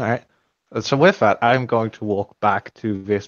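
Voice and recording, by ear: Against quiet surroundings, a natural voice reads aloud.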